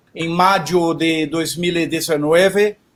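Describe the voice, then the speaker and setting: With a Portuguese accent, a man talks at a very slow pace. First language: Portuguese (speaking Spanish). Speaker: event coordinator. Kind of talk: panel talk. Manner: halting.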